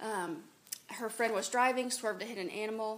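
Against noticeable background noise, a woman talks at a fairly quick pace, her pitch fairly high with ordinary variation. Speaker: audience member.

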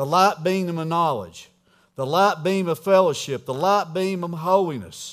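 In a high-pitched voice, a man talks at a fairly slow pace with ordinary pitch variation. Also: very clean recording, silent background. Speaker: preacher. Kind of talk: sermon. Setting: church. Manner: animated.

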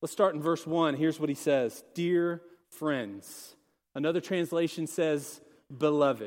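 Recorded very cleanly over a silent background, a man speaks with an unremarkable speaking voice at a fairly high pitch. His pace is fairly slow, with ordinary pitch variation. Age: 40s. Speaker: associate pastor. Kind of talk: sermon.

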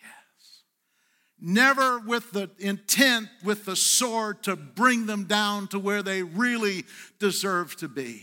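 A man with a high pitch and a bright, sharp tone speaks at a very slow pace in a raised, projected voice, his pitch varying in an ordinary way, on a very clean recording with a silent background. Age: 60s. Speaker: pastor. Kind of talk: Sunday sermon, pastor exhorting the congregation with call-and-response. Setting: church service with live congregation. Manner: earnest, conversational preaching with repetitions and self-corrections; coaxing the congregation for responses.

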